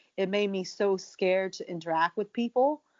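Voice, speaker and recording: In an American accent, a woman with an unremarkable speaking voice talks at a fairly slow pace, with medium pitch and fairly even intonation. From USA. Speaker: professional wrestler. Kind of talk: interview conversation.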